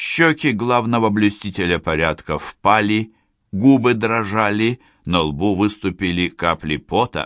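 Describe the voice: The speaker does plain reading aloud with ordinary pitch variation against a quiet background.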